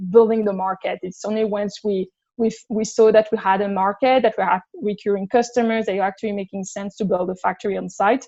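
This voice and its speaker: The speech moves at a moderate pace in a monotone, flat intonation. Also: woman. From France. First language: French. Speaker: business director, podcast guest. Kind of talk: podcast interview. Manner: hesitant, many fillers.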